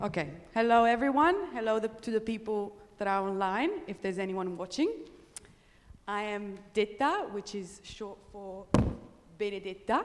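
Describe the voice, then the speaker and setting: A woman with an Italian accent speaks at a moderate pace in a medium pitch, her pitch varying in an ordinary way, with long, frequent pauses. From northern Italy, Pre-Alps village. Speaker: traveller and presenter. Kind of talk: conference presentation.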